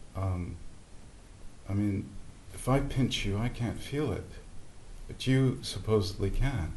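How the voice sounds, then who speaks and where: The voice sounds somewhat breathy and has lively intonation. Long, frequent pauses break up the speech. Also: man, fairly low pitch for a man, fairly slow pace. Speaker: satsang attendee, former theatre performer. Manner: hesitant, reflective.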